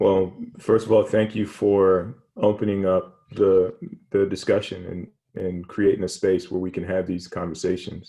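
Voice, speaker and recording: A man speaks in an American accent with monotone, flat intonation. His fairly low voice carries a dark, mellow tone. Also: moderate pace. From Virginia, US (Hampton). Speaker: athletics administrator, former football player. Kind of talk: interview. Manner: halting, many fillers and repetitions.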